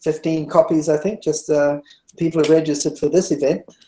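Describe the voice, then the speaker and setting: The voice has a dark, mellow tone and a New Zealand accent. It moves at a very fast pace. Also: man. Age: 60s. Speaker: meditation teacher. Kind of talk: interview. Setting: webinar.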